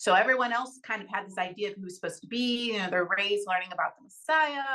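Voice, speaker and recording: Speaking at a very fast pace, a woman with an American accent has a bright, sharp tone and ordinary pitch variation. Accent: Texan accent changed by living abroad. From Texas. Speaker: actress. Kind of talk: interview.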